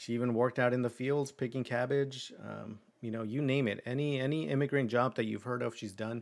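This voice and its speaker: A man speaks at a fairly quick pace with hardly any pauses, in an unremarkable speaking voice of medium pitch and fairly even intonation. The recording is very clean, with a silent background. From Mexico, moved to US at age eight. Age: 30s. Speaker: podcast host. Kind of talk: casual monologue. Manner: relaxed, filler-heavy.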